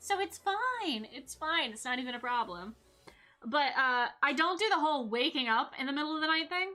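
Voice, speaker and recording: Over music in the background, a woman with a high pitch uses a raised, projected voice, with very wide pitch swings and big swings in loudness. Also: moderate pace. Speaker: vtuber streamer. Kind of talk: casual chat. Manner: halting.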